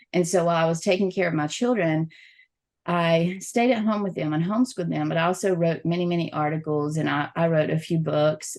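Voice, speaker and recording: With a Southern US accent, a woman speaks at a fairly quick pace, her fairly low voice showing ordinary pitch variation. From US South. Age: middle-aged. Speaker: XR event programmer and journalist. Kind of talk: podcast interview.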